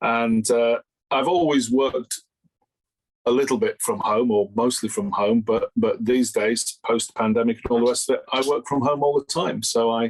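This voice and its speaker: A man speaks with a Yorkshire accent at very even loudness. The sound is dry and close, with no echo. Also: medium pitch for a man, ordinary pitch variation, moderate pace. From Yorkshire, northern England. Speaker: learning and development consultant, author. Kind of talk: interview. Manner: hesitant, repeats words.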